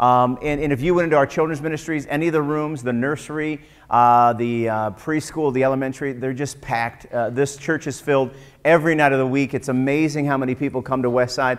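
Against a quiet background, the speech runs at a very fast pace with fairly even intonation. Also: man. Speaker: pastor. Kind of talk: sermon. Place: church.

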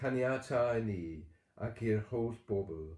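In a Welsh accent, a man speaks very slowly at a medium pitch, his dark, mellow tone somewhat breathy and solemn, against a quiet background with audible room echo. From Wales. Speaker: church service leader. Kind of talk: morning prayer service, bilingual Welsh-English, with intercessory prayer. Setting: online church service, livestream. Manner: fervent, solemn and earnest, with slow, measured, devout intonation. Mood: calm, solemn. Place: home room. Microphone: webcam.

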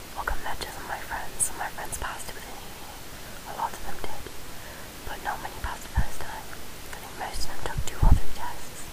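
Whispering at a very fast pace, a woman speaks with big swings in loudness over noticeable background noise. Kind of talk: whispered ASMR-style talk to camera. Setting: recorded late at night at home. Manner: whispered, soft-spoken.

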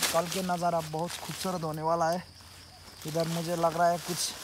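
Against noticeable background noise, a man talks at a fairly slow pace, the sound dry with no echo. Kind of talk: casual vlog chat.

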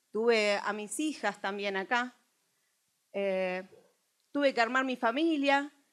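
At a very slow pace with long, frequent pauses, a woman speaks in a fairly high pitch with ordinary pitch variation. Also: quiet background. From Buenos Aires, Argentina; Argentina. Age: 40s. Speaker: political activist and bookseller; bookseller. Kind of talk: political speech. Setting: stage with audience. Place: hall.

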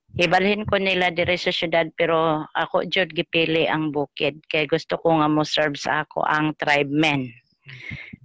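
A woman speaks in a plain, everyday voice at a fairly low pitch and a moderate pace, with fairly even intonation and hardly any pauses. The sound is dry with no echo, and the background is quiet. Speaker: student and community member. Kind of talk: class discussion, testimony. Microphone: video call.

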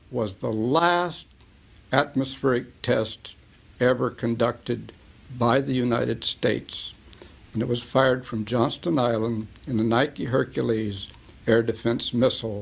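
A man speaks at a fairly slow pace with vocal fry, fairly even intonation, and long, frequent pauses. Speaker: interviewee. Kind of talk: interview answer. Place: studio.

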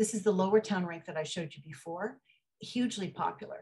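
Somewhat breathy, a woman speaks at a moderate pace with ordinary pitch variation against a quiet background. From Ottawa, Canada; Canada. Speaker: photographer. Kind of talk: artist talk. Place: home room. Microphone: video call.

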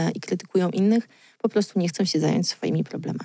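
With fairly low pitch and fairly even intonation, a woman talks at a fairly quick pace against a quiet background, in dry sound with no echo. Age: 30s. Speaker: blogger and author; blogger. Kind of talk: casual chat. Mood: relaxed, smiling. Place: studio. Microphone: studio mic.

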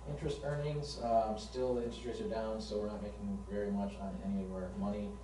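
Noticeable background noise and audible room echo are present. A man speaks fairly quickly through them. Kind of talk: meeting report. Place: meeting room. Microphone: camera far.

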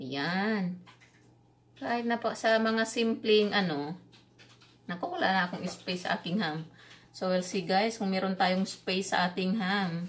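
A woman speaks at a fairly slow pace with medium pitch and ordinary pitch variation. Her voice is somewhat breathy. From Visayas, Philippines. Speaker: cooking vlogger. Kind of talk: cooking tutorial. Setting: home kitchen. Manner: halting, stumbles over words. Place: kitchen.

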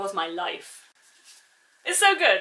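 Raised and projected, this woman's voice has a bright, sharp tone. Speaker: book vlogger. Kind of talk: video announcement, enthusiastic talk to camera. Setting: video recording. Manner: fast talker; animated, excitable. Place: home room. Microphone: phone near.

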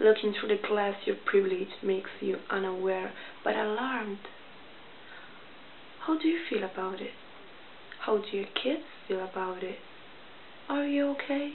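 A woman speaks at a moderate pace and medium pitch, leaving long, frequent pauses. Light background noise is audible. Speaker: poet. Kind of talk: poetry reading. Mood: calm, pointed, slightly confrontational. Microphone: webcam.

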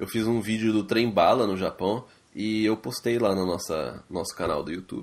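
Here a man with a plain, everyday voice has a fairly low pitch. He keeps a moderate pace with ordinary pitch variation. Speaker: podcast co-host. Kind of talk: casual chat. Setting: Skype call.

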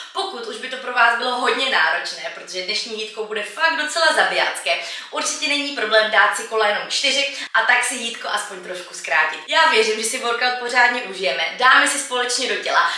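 Audible room echo surrounds a woman who speaks at a fairly quick pace with hardly any pauses. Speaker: fitness trainer. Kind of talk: workout intro talk. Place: home room.

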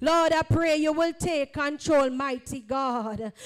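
Music plays in the background as the speaker talks at a very slow pace. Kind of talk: fervent public prayer. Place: church.

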